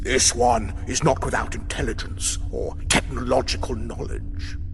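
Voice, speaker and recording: Over loud music in the background, a man puts on a guttural, croaky character voice and talks at a moderate pace. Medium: read story. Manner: measured, superior.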